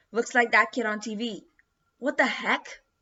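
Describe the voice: A gruff, put-on character voice that sounds female comes at a moderate pace and a fairly high pitch for a woman.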